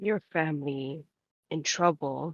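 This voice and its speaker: Pitched in the middle range, the speaker uses a put-on character voice. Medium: actual play. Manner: clipped, terse.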